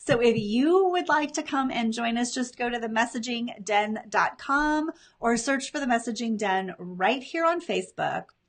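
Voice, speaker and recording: Animated in tone and lively in intonation, the voice moves at a moderate pace with hardly any pauses. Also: woman, high pitch for a woman. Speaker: business coach. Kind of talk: live stream. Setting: live video stream.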